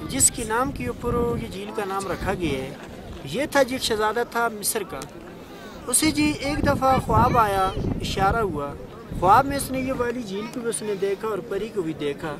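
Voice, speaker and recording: A man speaks in a high pitch with lively intonation. Crowd noise fills the background. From northern Pakistan, Kaghan valley near the lake. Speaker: local storyteller and lake guide. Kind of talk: oral folk storytelling.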